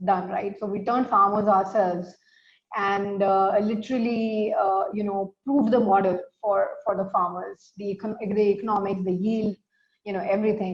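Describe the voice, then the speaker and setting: At a moderate pace, a woman speaks somewhat breathily at a medium pitch with fairly even intonation. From India. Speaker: startup founder and CEO. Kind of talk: interview. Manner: hesitant, many fillers.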